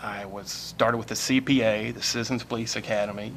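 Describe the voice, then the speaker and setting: Noticeable background noise sits under a man's voice. He has a medium pitch and a moderate pace. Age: 50s. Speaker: political candidate. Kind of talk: candidate forum statement.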